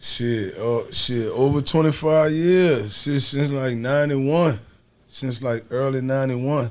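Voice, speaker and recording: A man with a strong New Orleans accent, medium pitch, ordinary pitch variation and a fairly slow pace. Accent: New Orleans Southern drawl, strong. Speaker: podcast guest. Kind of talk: casual chat.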